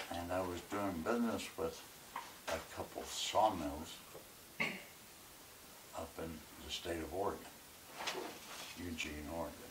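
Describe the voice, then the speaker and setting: Over noticeable background noise, a man with a very deep, low pitch speaks at a fairly slow pace with long, frequent pauses. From Arkansas. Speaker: businessman, war veteran. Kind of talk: interview answer. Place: home room.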